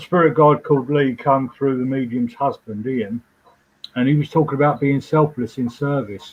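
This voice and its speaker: A man talks in a normal speaking voice, his medium pitch and fairly even intonation carried at a moderate pace. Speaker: trance medium. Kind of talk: interview.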